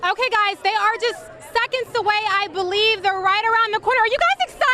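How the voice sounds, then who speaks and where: A woman speaks at a very fast pace in an extremely high pitch, her raised, projected voice enthusiastic and upbeat with a bright, sharp tone and very even loudness over crowd noise in the background. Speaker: TV news anchor and reporter. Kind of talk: TV news field report. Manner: enthusiastic, upbeat.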